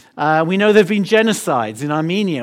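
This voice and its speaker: A man's high-pitched voice with an English accent. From London, England. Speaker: missions leader. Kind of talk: sermon. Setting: church.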